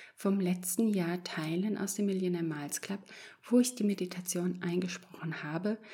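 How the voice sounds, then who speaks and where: Somewhat breathy and fairly slow, a woman speaks at medium pitch in a dark, mellow, soothing and gentle tone with fairly even intonation. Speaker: podcast host and meditation guide. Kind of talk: guided meditation, calm hypnotic instructions. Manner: slow, soft, soothing, gentle pacing with pauses; warm, reassuring, encouraging.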